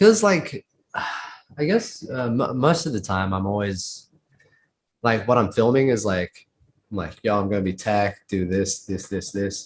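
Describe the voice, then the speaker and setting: A man with an Australian accent at a medium pitch, somewhat breathy and at a very slow pace. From Australia, Sydney. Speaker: inline skater. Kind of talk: casual interview. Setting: video call on laptop. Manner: casual, halting with fillers.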